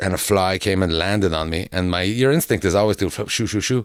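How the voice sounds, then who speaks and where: Recorded very cleanly against a silent background, a man talks at a very fast pace in a fairly low pitch with ordinary pitch variation. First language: French. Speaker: comedian. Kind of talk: casual chat. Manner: halting.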